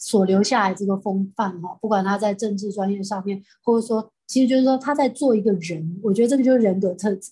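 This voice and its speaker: Over a quiet background, a woman with a Taiwanese accent speaks at a medium pitch in a dark, mellow, somewhat breathy tone, with ordinary pitch variation and hardly any pauses. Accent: Taiwanese Mandarin. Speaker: real estate company chairwoman. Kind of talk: interview.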